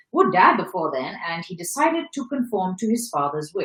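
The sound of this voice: What you hear is an unforced reading voice.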